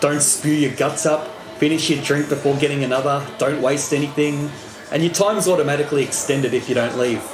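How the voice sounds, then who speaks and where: Faint music plays in the background as a man talks. His pace is fairly quick and his pitch variation is ordinary. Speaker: travel vlogger. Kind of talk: casual vlog chat. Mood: cheerful, playful. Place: bar. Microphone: phone near.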